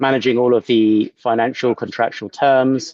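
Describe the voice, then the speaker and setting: Against a quiet background, a man with a British accent speaks at a medium pitch. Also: dry, close sound with no echo. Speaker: product executive. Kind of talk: webinar presentation. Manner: hesitant with fillers.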